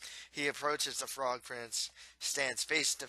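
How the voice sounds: The natural reading voice keeps its intonation fairly even throughout.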